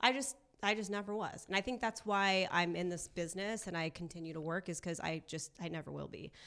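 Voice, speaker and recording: A woman's voice with a bright, sharp tone. Her pitch varies in an ordinary way. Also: medium pitch for a woman, fairly quick pace. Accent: Californian. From Southern California, Orange County. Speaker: sports and entertainment reporter. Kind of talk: casual chat. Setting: studio.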